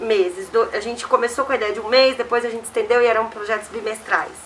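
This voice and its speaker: Background noise is clearly audible. The voice belongs to a woman. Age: 30s. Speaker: community organization co-founder. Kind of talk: interview.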